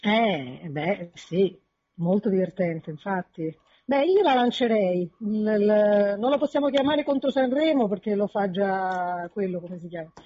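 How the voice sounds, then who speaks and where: This woman has an ordinary speaking voice at a medium pitch, with lively intonation. She talks at a fairly slow pace. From Naples. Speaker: caller. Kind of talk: casual chat.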